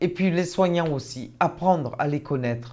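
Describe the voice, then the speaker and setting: This woman's voice has a dark, mellow tone and a fairly low pitch. Her intonation is lively. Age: 60s. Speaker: stroke patient. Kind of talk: testimony. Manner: halting.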